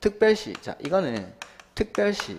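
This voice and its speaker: Very wide pitch swings and vocal fry mark a man's fairly quick speech. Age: young. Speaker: real estate law exam lecturer. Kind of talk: lecture. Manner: fast; animated.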